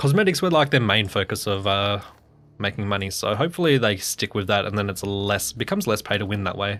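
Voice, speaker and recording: Here a man talks at a very fast pace in an Australian accent. His pitch swings very widely. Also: very clean recording, silent background. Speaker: gaming streamer. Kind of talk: live stream gameplay commentary. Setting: live stream. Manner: casual, conversational.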